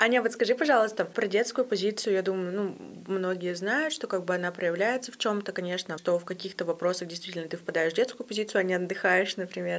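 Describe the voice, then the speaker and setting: Here a woman speaks at a medium pitch. Her pace is very fast. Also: ordinary pitch variation. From Russia, Yekaterinburg. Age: 20s. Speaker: podcast host. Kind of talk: casual interview.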